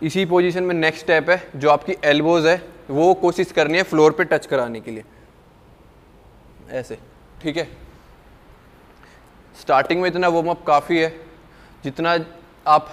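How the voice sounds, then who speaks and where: A man speaks at a fairly slow pace with fairly even intonation. Long, frequent pauses break up his speech. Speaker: fitness trainer. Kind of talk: tutorial. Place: gym.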